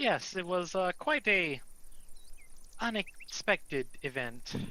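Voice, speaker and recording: A man performs a put-on character voice, high-pitched with very wide pitch swings. He speaks at a fairly slow pace. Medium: actual play. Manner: hesitant, nervous.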